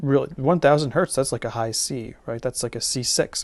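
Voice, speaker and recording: Fairly high in pitch with ordinary pitch variation, the man talks in an ordinary speaking voice. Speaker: teacher. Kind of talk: tutorial. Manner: casual with many fillers.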